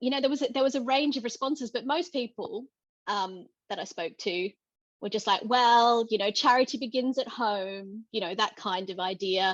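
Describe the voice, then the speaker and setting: This woman has an Australian accent and a fairly high pitch. The sound is dry and close, with no echo. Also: quiet background. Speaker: theatre director. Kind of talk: panel discussion. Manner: halting.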